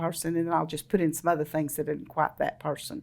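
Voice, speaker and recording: The voice, with a Texan accent, moves at a fairly quick pace. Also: woman. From northeast Texas / southern Oklahoma. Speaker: romance novelist. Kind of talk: casual interview. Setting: event.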